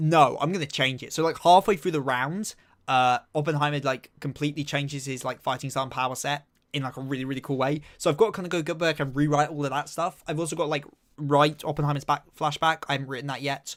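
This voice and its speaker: A man with an English accent talks very fast in a fairly high pitch, on a very clean recording with a silent background. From southeast England. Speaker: anime and manga streamer. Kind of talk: live stream chat. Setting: live stream. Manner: animated.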